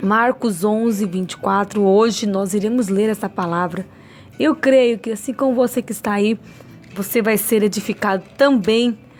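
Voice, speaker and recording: With music in the background, a woman speaks at a fairly slow pace and a fairly high pitch. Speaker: lay preacher. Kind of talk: sermon. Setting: livestream.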